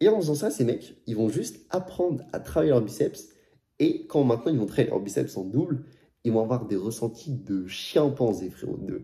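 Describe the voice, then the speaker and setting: Speaking at a moderate pace, a man has a medium pitch and a dark, mellow tone. He sounds somewhat breathy, with lively intonation. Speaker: fitness youtuber. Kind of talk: casual vlog advice. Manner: casual slangy.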